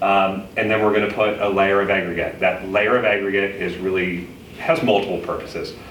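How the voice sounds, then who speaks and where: A man's fairly low voice amid audible room echo and noticeable background noise. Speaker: village engineer presenting to residents. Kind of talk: public meeting presentation. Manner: fast.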